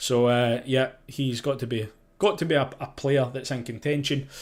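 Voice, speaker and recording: Fairly even intonation in a Scottish accent, at a moderate pace, on a very clean recording with a silent background. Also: man. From Scotland. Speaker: sports journalist, golf podcast host. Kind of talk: live podcast preview chat. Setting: live stream. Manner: casual, hesitant with fillers.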